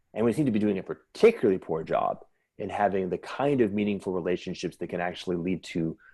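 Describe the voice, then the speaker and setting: A man with a plain, everyday voice speaks at a fairly low pitch and a fairly quick pace, with ordinary pitch variation, in a very clean recording with a silent background. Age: 50s. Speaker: futurist thinker discussing civilization design. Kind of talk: intellectual conversation. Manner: repetitive false starts.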